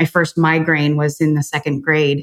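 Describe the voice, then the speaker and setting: This woman has an American accent. Her voice is very deep and low. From US Midwest, Chicago. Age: 40s. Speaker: author and business coach. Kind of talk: podcast interview.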